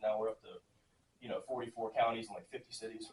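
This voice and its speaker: A man's somewhat breathy, medium-pitched voice, very fast, with fairly even intonation. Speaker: government software presenter. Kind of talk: presentation to county commission.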